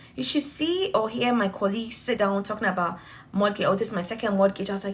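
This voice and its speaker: Over noticeable background noise, a woman talks very fast at a medium pitch in an animated tone. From Ghana. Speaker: vlogger. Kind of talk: casual vlog monologue.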